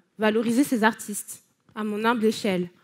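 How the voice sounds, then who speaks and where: This woman's voice is captured on a very clean recording against a silent background. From France, Paris. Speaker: speaker, arts writer and blogger. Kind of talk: conference talk.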